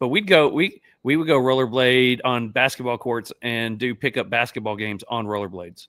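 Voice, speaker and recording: A man with an American accent speaks at a medium pitch and a moderate pace, with ordinary pitch variation. It is a normal speaking voice. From Central Florida. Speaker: podcast host. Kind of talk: casual chat.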